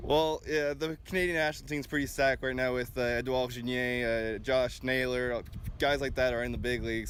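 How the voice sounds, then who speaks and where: This man talks at a fairly quick pace with a medium pitch. His intonation stays fairly even. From Quebec, Canada. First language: French. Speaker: college baseball pitcher. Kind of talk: interview.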